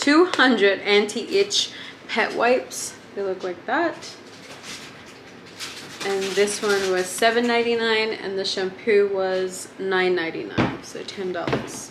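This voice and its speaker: A woman talks fairly slowly, and noticeable background noise is present. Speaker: vlogger. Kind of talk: casual vlog chat. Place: home room. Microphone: phone near.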